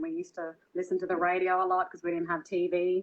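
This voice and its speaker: A woman speaks in an Australian accent at a very fast pace. Her voice is fairly low, with monotone, flat intonation. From Australia, Byron Bay area (New South Wales). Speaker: singer and dancer. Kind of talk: interview conversation. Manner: hesitant, many fillers.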